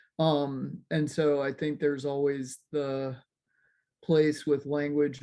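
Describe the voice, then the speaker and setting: Someone speaks at a very slow pace in an American accent, with a quiet background. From US. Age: 60s. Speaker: educator and consultant. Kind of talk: casual chat.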